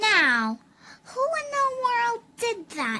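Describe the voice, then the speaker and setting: The speaker uses a put-on character voice with very wide pitch swings. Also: woman. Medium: read story.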